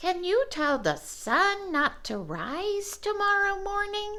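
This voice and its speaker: A put-on character voice, squeaky and extremely high, at a fairly slow pace over light background noise. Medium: read story. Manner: chirpy.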